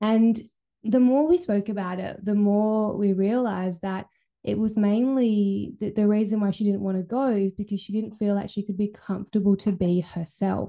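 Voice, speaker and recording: Against a quiet background, a woman uses a normal speaking voice at a medium pitch and moderate pace. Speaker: holistic healer and podcast host. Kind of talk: pep talk, warm solo monologue. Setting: recording at home with dog nearby. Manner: encouraging, upbeat, chatty.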